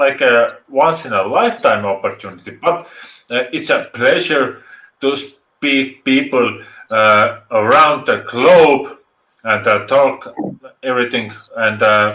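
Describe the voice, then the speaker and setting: This man has an Estonian accent and a fairly high pitch with ordinary pitch variation. His tone is bright and sharp, and his pace is fairly slow. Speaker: live stream viewer joining. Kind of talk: casual chat. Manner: halting, many fillers.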